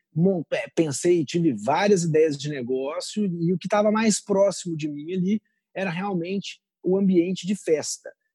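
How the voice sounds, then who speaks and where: The voice has a dark, mellow tone and ordinary pitch variation, recorded with a dry, close sound and no echo. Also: man. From Brazil, Minas Gerais and São Paulo interior. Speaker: entrepreneur. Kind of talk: interview.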